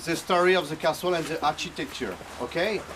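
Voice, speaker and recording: Noticeable background noise sits behind a man speaking with a French accent. His pitch is high and his intonation fairly even. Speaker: chateau owner giving a tour. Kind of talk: guided tour talk.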